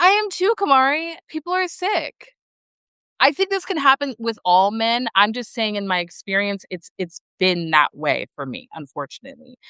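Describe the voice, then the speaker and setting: A loud woman with an American accent, fairly high-pitched and bright, sharp in tone, animated, with very wide pitch swings, a moderate pace and a dry, close sound with no echo. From Texas, Dallas. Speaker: live streamer. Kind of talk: casual chat.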